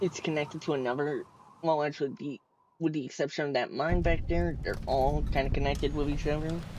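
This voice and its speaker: A man with an American accent talks at a fairly quick pace. His pitch is fairly high, with ordinary pitch variation. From United States. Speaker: gaming streamer. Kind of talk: live gameplay commentary. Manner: hesitant, many fillers.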